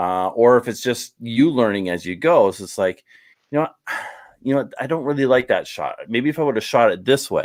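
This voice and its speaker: With a Canadian accent and a normal speaking voice, a man speaks at medium pitch with lively intonation, recorded very cleanly over a silent background. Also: moderate pace. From Canada. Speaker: YouTube travel vlogger. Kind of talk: casual chat.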